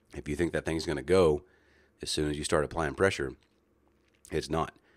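Heard on a very clean recording with a silent background, a man's very deep, low voice carries vocal fry and fairly even intonation. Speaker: competitive shooting instructor and podcast host. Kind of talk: casual monologue. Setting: at the shooting range.

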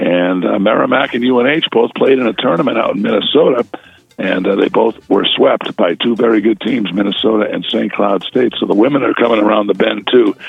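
A fairly quick-talking man with noticeable noise in the background. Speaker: college hockey play-by-play announcer. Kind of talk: sports report on radio. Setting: phone call.

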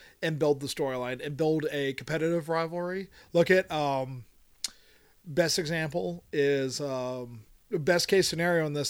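The speaker has an American accent. The pitch varies an ordinary amount. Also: man. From Pennsylvania. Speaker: guest co-host, wrestling fan. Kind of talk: casual chat.

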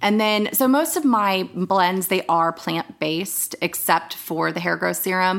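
The speaker has an American accent and a plain, everyday voice. The pace is fairly slow. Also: woman. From Northern Virginia, US. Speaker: acupuncturist and herbalist. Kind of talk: casual interview chat.

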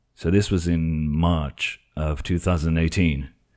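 Very deep and low, a man's voice carries a dark, mellow tone with fairly even intonation. The recording is very clean, with a silent background. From Portugal. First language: Portuguese. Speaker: tech YouTuber. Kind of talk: casual tech discussion.

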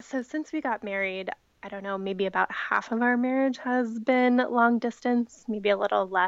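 A woman with an American accent speaks at a moderate pace in an unremarkable speaking voice. Her pitch sits fairly high, with ordinary pitch variation. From Ohio. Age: 20s. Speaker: magazine editor. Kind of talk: casual interview.

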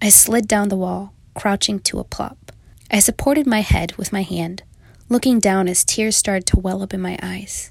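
An unforced reading voice. Pitch moves in an ordinary way.

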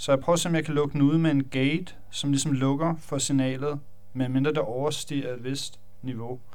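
A man speaks at a moderate pace in a fairly high voice with monotone, flat intonation. Audible room echo fills the recording. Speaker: electronic music producer. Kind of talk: tutorial. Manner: halting.

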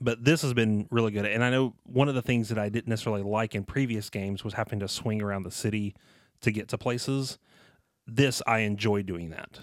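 A man with a Southern US accent speaks at a fairly quick pace in a fairly low voice, his intonation fairly even, on a very clean recording with a silent background. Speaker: podcast co-host. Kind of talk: casual chat.

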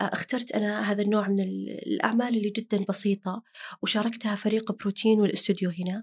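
Speaking at a moderate pace with hardly any pauses, a woman has a somewhat breathy, medium-pitched voice and monotone, flat intonation. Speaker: diabetes health educator. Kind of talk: casual chat. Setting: studio.

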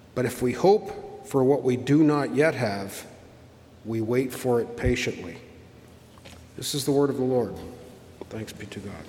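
Against noticeable background noise, a man talks with lively intonation, big swings in loudness and long, frequent pauses. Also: medium pitch for a man, moderate pace. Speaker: worship leader. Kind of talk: prayer and scripture reading. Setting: church.

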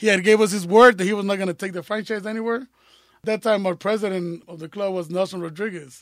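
A high-pitched man at a very fast pace with big swings in loudness. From Mexico (Zamora, Michoacán), moved to US at twelve. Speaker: football supporter group leader. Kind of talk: casual storytelling interview.

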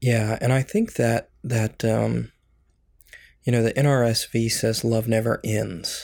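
Over a very clean recording with a silent background, a man speaks fairly slowly at a medium pitch, in a monotone, flat intonation. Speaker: church podcast co-host. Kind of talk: casual chat. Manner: authoritative.

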